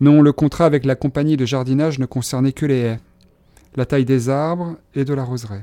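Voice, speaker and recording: The man's dark, mellow voice keeps a fairly even intonation, captured dry and close with no echo. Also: medium pitch for a man, fairly quick pace. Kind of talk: literary audiobook reading, dialogue acted out as a guide showing gardens. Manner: clear, measured, courteous guide-like delivery, formal and polite.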